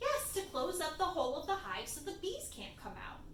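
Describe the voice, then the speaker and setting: In a put-on character voice, a woman speaks squeaky and at an extremely high pitch at a fairly quick pace, with slight echo and clear background noise. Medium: read story.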